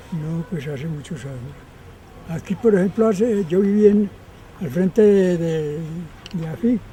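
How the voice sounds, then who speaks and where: The speech comes at a fairly slow pace with long, frequent pauses. Noticeable background noise sits underneath. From Antioquia, Colombia (Rionegro). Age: 90s. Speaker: elderly local resident interviewed. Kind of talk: interview. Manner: halting.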